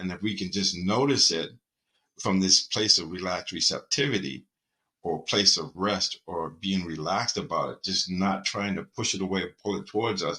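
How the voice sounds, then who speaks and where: A man speaks at a fairly low pitch with a bright, sharp tone. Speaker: mindfulness and performance coach. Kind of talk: talk to camera on mindfulness. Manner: calm, reflective.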